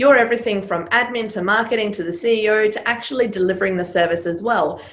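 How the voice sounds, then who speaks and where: A woman with a fairly high pitch talks at a very fast pace. Audible room echo and noticeable background noise are present. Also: ordinary pitch variation. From Serbia. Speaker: business coach and former stage performer. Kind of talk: interview.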